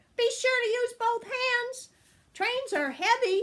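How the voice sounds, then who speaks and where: In a put-on character voice, a woman squeaks at an extremely high pitch, speaking at a fairly slow pace with ordinary pitch variation. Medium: read story. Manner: bright, earnest.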